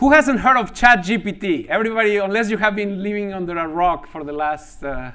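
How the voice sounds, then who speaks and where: A man with a Spanish accent speaks in a raised, projected voice at a high pitch, with very wide pitch swings, a fairly quick pace and hardly any pauses. Noticeable background noise and audible room echo fill the recording. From Mexico. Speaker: mathematics professor. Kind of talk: lecture. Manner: halting, frequent repetitions and fillers.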